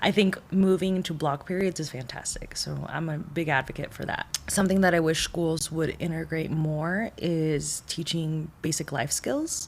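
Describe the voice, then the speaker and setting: A woman's fairly low voice at a moderate pace, with fairly even intonation and hardly any pauses. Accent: Spanish. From Mexico. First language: Spanish. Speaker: behavioral health counselor. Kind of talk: podcast interview.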